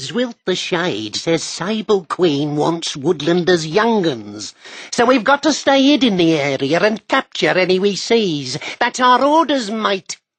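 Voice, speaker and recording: Someone uses a put-on character voice, speaking quietly at a fairly slow pace and a middle pitch. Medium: read story. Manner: nervous, hushed.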